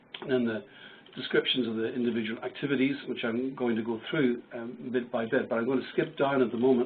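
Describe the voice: Putting on a croaky character voice, a man talks fairly quickly at a medium pitch over light background noise.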